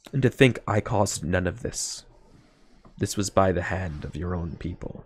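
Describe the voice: A booming put-on character voice talks at a moderate pace. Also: man, very deep, low pitch for a man.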